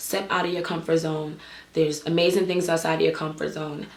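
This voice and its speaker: Audible room echo surrounds a woman speaking in a fairly low pitch with an animated tone. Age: 20s. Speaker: dance instructor and business owner. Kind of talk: vlog monologue. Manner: casual, animated.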